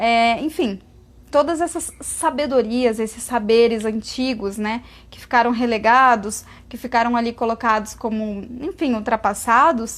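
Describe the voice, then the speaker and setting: At a fairly slow pace, a woman with a plain, everyday voice talks at a fairly high pitch with ordinary pitch variation. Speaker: vegan lifestyle influencer. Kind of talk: live Q&A stream. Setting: Instagram live stream.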